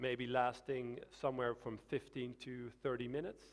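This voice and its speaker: Someone with a Dutch accent talks at a fairly slow pace. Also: man. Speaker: swimming coach. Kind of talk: Q&A after a lecture. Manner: halting.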